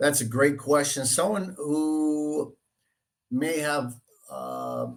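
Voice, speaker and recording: Talking at a very slow pace with a Boston accent, a man has a fairly high pitch and ordinary pitch variation. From Boston area, Dorchester, Massachusetts. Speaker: real estate agent. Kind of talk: interview. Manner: halting, many fillers.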